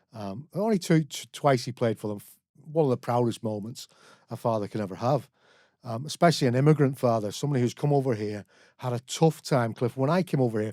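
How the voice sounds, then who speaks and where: A man with a Belfast accent talks at a very fast pace, his medium-pitched voice dark and mellow in tone with ordinary pitch variation. The sound is dry and close with no echo, and the recording is very clean against a silent background. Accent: Belfast Northern Irish. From Northern Ireland, Belfast. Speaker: recovering alcoholic, author and community educator. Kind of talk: podcast interview.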